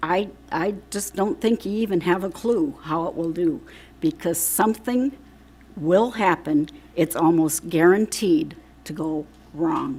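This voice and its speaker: An unremarkable speaking voice from a woman at medium pitch, fairly slow in pace with lively intonation. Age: 60s. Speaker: public commenter at school board meeting. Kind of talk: public comment speech. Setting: school board meeting.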